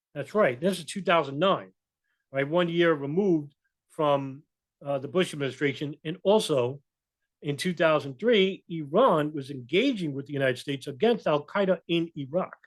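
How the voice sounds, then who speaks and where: A man with a New York accent at a moderate pace, fairly high pitch and ordinary pitch variation. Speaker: political commentator, video blogger. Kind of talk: casual commentary with reading of articles. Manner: halting, many fillers.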